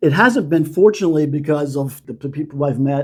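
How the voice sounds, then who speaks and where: A man speaks at a moderate pace with a dark, mellow tone. His pitch sits fairly high for a man. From United States. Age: 60s. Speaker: retiree. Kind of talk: interview answer.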